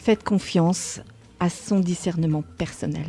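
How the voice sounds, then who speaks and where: A woman speaks at a medium pitch with a somewhat breathy, dark and mellow tone and ordinary pitch variation. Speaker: radio show host. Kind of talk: radio talk on personal growth. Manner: slight stammer, stumbles on words.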